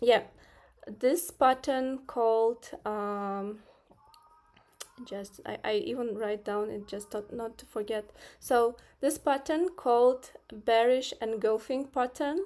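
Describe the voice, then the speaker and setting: A woman speaks with a non-native accent at a fairly high pitch and ordinary pitch variation. Her pace is very slow, broken by long, frequent pauses. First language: not English. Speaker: trading streamer. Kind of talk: live stream market analysis. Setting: live stream with screen share. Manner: hesitant, many fillers.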